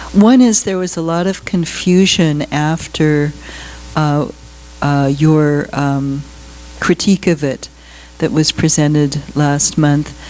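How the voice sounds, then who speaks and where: Speech comes at a very slow pace with long, frequent pauses and ordinary pitch variation. Background noise is noticeable. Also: woman, very deep, low pitch for a woman. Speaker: member of the public. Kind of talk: public comment. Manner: halting. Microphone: far from the mic.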